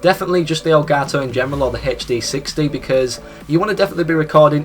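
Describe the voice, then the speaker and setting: A man with a British accent, very fast and fairly even in intonation, amid noticeable background noise. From Britain. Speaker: gaming YouTuber. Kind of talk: tutorial.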